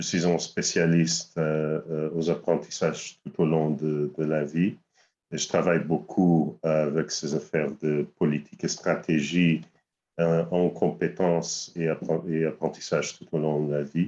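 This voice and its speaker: The voice has a dark, mellow tone and a non-native accent. Its intonation is monotone and flat, at a fairly slow pace. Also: man, very deep, low pitch for a man. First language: not French (speaking French). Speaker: lifelong learning specialist. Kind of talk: webinar self-introduction. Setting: video call. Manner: halting.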